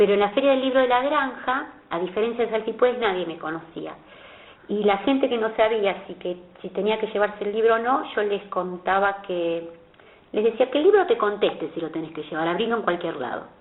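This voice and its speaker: A woman speaks at a fairly quick pace with a medium pitch over noticeable background noise. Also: lively intonation. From Argentina, Buenos Aires. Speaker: author. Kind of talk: interview.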